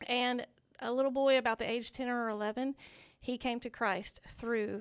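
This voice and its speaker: In a Southern US accent, a woman speaks at a moderate pace with monotone, flat intonation. The sound is dry and close with no echo, against a quiet background. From Arkansas (Searcy area). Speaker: children's ministry outreach director. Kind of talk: casual interview.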